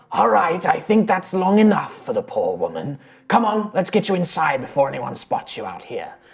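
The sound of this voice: At a moderate pace, the speaker uses a gravelly put-on character voice with a middle pitch.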